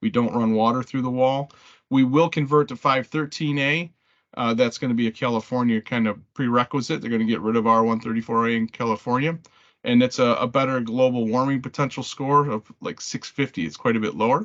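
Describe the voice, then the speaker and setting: Pitch varies in an ordinary way. The pace is fairly quick. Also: man, medium pitch for a man. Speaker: manufacturer representative. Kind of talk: product presentation. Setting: conference call. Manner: fast.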